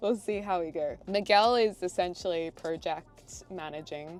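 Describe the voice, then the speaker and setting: This woman talks with a fairly low pitch and ordinary pitch variation. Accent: Australian. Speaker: lifestyle vlogger. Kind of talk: casual vlog talk to camera.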